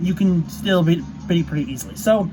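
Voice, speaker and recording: A man talks at a very fast pace with noticeable background noise. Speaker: gaming YouTuber. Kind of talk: tutorial. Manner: halting, many fillers.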